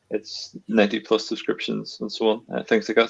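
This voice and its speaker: At a fairly quick pace, a man talks with a strong Northern Irish accent in a dry, close sound with no echo. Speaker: cloud engineer. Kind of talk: webinar conversation. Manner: hesitant, with frequent fillers.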